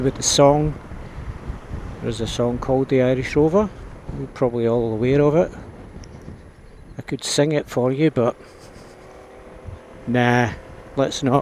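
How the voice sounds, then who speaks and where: A man speaks in a Scottish accent. His delivery has long, frequent pauses. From Scotland. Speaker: motorbike vlogger. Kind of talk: casual vlog narration. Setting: outdoors riding a scooter.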